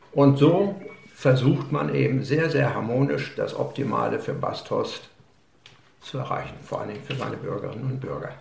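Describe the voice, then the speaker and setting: Moderate pacing from a man amid audible room echo and noticeable background noise. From western Germany, Münsterland and Ruhr area (Lünen). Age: 70s. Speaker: village mayor, retired army officer. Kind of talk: interview.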